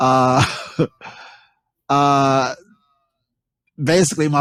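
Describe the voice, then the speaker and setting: A man with a Southern US accent, fairly high in pitch with ordinary pitch variation, on a very clean recording with a silent background. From US South, Charlotte, North Carolina. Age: 60s. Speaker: poet. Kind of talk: interview. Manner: halting.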